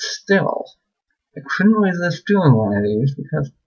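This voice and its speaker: Somewhat breathy, this man's voice sweeps through very wide pitch swings. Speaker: book reader vlogger. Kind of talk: reading aloud.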